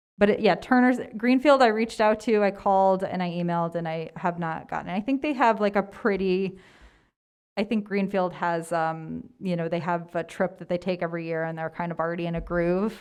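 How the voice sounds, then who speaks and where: A woman talks at a fairly quick pace with medium pitch and ordinary pitch variation. The background is quiet. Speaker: Spanish teacher presenting a trip proposal. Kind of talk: presentation to school committee. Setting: video call.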